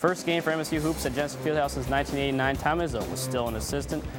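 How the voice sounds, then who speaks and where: A man's medium-pitched voice with ordinary pitch variation, music in the background. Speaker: sports reporter and anchor. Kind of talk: sports news anchor and reporter delivery.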